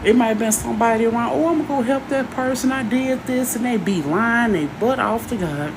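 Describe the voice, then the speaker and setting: At a fairly quick pace, a woman talks with lively intonation and a fairly high pitch, amid noticeable background noise and audible room echo. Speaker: live streamer and minister. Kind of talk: casual live stream monologue. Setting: live stream. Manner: animated.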